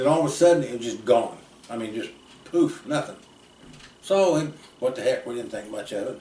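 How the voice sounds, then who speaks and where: A man's medium-pitched, somewhat breathy voice with an American accent, lively intonation, a fairly quick pace, big swings in loudness and audible room echo. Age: 60s. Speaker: storyteller relative. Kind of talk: casual storytelling. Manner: halting.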